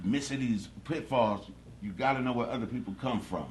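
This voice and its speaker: Audible room echo around a man's voice, moderate in pace, with ordinary pitch variation. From Los Angeles, California. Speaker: interview guest. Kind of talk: casual interview.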